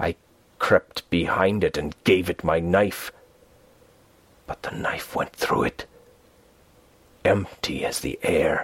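A man whispers in a put-on character voice that is raspy and hoarse. He goes at a fairly slow pace with long, frequent pauses. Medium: read story. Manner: hoarse whisper, fearful, obsessed.

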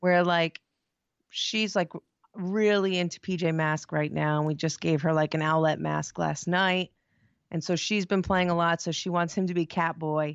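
A woman talks in a plain, everyday voice at a fairly low pitch. Her pace is moderate and her intonation fairly even. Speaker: podcast guest, co-host's wife. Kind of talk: casual chat.

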